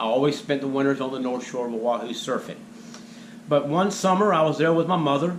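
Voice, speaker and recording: Noticeable background noise and audible room echo are present. The speech moves at a fairly quick pace with ordinary pitch variation. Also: man, fairly high pitch for a man. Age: 60s. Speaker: spiritual video blogger. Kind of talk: monologue storytelling.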